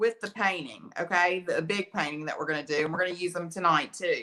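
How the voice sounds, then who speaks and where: A woman's bright, sharp tone with lively intonation, in an Alabama accent. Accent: Alabama country. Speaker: art teacher. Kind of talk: live painting tutorial. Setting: livestream from art studio. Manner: casual, chatty.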